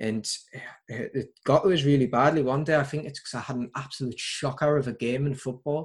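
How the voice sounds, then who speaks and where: A somewhat breathy voice at a moderate pace, with fairly even intonation. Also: man. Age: 20s. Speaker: football coach. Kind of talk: casual chat.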